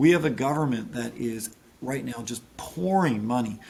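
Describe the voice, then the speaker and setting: With ordinary pitch variation, a man talks fairly slowly. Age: 40s. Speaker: political candidate. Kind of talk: interview. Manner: halting.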